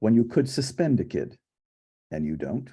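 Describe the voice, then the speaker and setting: Here a man speaks with a dark, mellow tone and vocal fry. His pace is moderate. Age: 60s. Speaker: clinical psychologist and conference host. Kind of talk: conference keynote talk.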